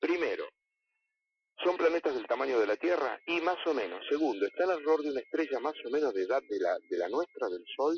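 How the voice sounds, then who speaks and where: A man speaks in a Rioplatense accent. His pace is fairly quick. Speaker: astronomer. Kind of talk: interview.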